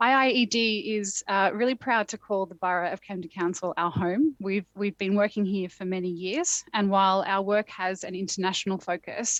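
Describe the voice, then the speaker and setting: A woman talks with hardly any pauses and fairly even intonation, the sound dry and close with no echo. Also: medium pitch for a woman, moderate pace. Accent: Australian. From Australia. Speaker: climate policy expert, keynote speaker. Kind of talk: keynote speech. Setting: remote video link from a conference venue, in a phone box.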